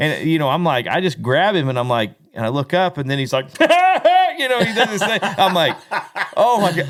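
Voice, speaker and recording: Loud and animated, a man with a high pitch talks at a moderate pace with very wide pitch swings over noticeable background noise. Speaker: country singer and podcast host. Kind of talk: casual chat.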